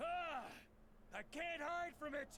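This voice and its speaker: A man's put-on character voice against clear background noise. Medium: video game. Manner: commanding, forceful.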